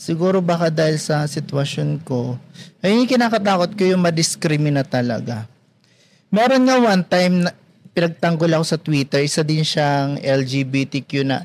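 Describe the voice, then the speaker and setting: Lively intonation at a moderate pace, with very even loudness. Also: man, fairly high pitch for a man. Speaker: security guard and freelance talent. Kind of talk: casual interview chat.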